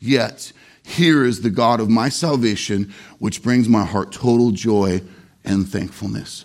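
A man with a normal speaking voice talks at a fairly slow pace with ordinary pitch variation. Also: very clean recording, silent background. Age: 40s. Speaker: pastor. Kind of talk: sermon. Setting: church.

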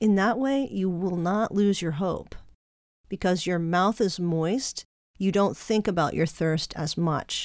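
In a very clean recording with a silent background, a woman speaks fairly slowly at a fairly low pitch with ordinary pitch variation. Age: 50s. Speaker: podcast host. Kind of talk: spiritual monologue.

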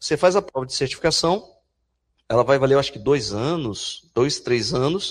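A man with a fairly high pitch and lively intonation at a moderate pace, over a quiet background. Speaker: university professor. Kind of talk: lecture. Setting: stage with audience. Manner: animated.

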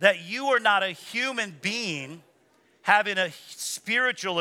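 Raised and projected, a man's voice comes across animated, with a bright, sharp tone. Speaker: preacher. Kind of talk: sermon. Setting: church. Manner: animated, rousing call-and-response preaching.

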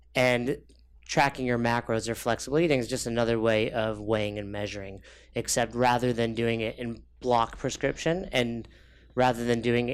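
A man with an American accent has a plain, everyday voice at medium pitch. He speaks at a moderate pace with fairly even intonation on a very clean recording with a silent background. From New York. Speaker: fitness coach. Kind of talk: casual chat.

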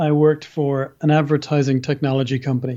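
His tone dark and mellow, a man speaks with an Irish accent. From Ireland. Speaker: civil liberties litigator. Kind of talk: interview.

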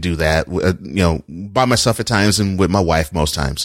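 On a very clean recording with a silent background, a man speaks in a very deep, low pitch with ordinary pitch variation. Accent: American. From Texas, Houston. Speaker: journalist and podcaster. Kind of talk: casual chat. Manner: animated.

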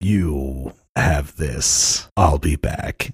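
A man puts on a raspy character voice at a very deep, low pitch. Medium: actual play. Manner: terse, formal.

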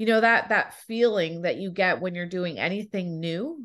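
Here is a normal speaking voice with ordinary pitch variation. The background is quiet. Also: woman. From Toronto, Canada. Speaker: executive coach and author. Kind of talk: casual interview chat.

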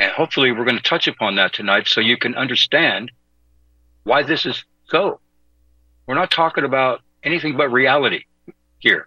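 Speaking in an American accent, a man at medium pitch uses ordinary pitch variation and leaves long, frequent pauses. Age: 60s. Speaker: fill-in radio host. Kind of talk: talk radio monologue. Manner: halting.

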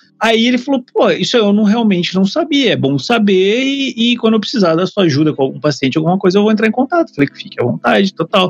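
Speaking at a very fast pace with hardly any pauses, a man with a high voice makes very wide pitch swings in a dry, close sound with no echo. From Brazil, Curitiba. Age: 30s. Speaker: YouTuber on photography and vaping. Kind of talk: casual chat.

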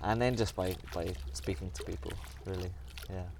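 A man speaks at a moderate pace, with audible room echo and noticeable background noise. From Somerset, England. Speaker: long-distance cyclist. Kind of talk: casual interview. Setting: outdoors by a reservoir.

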